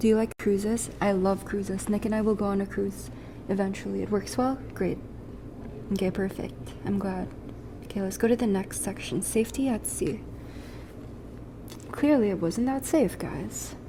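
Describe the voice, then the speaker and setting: Noticeable background noise sits behind a woman speaking at a moderate pace with long, frequent pauses. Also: medium pitch for a woman, ordinary pitch variation. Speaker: streamer. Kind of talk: casual chat.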